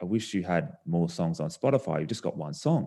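A man with an Australian accent, his pitch very deep and low, his tone dark and mellow, against a quiet background. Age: 30s. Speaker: singer-songwriter. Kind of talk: casual chat.

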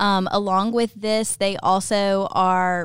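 On a very clean recording with a silent background, a woman speaks at a medium pitch with a Southern US accent. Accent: Southern American. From US South, Ocean Springs, Mississippi. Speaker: high school academy specialist, former teacher. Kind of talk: interview.

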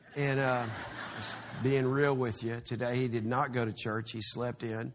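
Moderate pace and medium pitch from a man with a Texan accent. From Texas. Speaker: pastor. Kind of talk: sermon.

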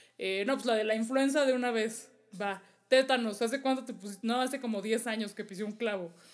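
A woman with an unremarkable speaking voice talks fairly quickly, fairly high in pitch and fairly even in intonation. The recording is very clean, with a silent background. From Mexico. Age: 30s. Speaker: travel podcast co-host. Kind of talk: casual chat.

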